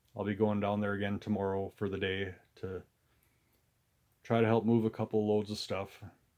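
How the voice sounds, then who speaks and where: With an American accent and a relaxed tone, a man speaks at a moderate pace and fairly low pitch, his intonation monotone and flat, with long, frequent pauses. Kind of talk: casual talk to camera. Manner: relaxed, rambling.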